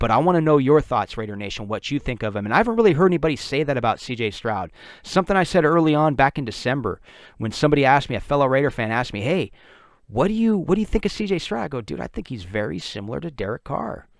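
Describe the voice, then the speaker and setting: Speaking at a very fast pace, a man with a fairly high pitch uses an animated tone and very wide pitch swings on a very clean recording with a silent background. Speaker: podcast host, sports fan commentator. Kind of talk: casual solo podcast commentary.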